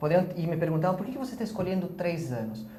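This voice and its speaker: This is a man speaking. His pitch sits high. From Spanish-speaking country. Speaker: architecture professor. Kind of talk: interview.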